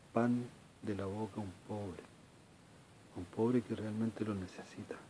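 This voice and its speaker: A man speaks at a fairly low pitch and moderate pace with long, frequent pauses and monotone, flat intonation, over light background noise. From Chile. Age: 40s. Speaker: video blogger. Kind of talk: personal monologue. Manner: halting. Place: home room. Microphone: phone near.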